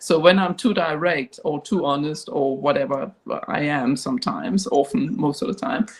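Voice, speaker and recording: Speaking at a moderate pace in a Danish accent, a woman uses a fairly low pitch with very wide pitch swings. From Denmark. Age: 60s. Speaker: professor and company chair. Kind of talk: panel discussion.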